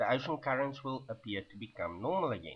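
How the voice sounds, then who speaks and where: The man's voice shows ordinary pitch variation. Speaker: video blogger. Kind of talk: webcam monologue. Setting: sitting at webcam.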